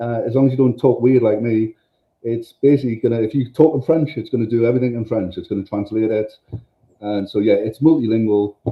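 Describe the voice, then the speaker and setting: A medium-pitched male voice with a northern English accent and ordinary pitch variation. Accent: northern English accent, noticeable. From northern England. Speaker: tech company presenter. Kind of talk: product demo. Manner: casual, enthusiastic, with many fillers.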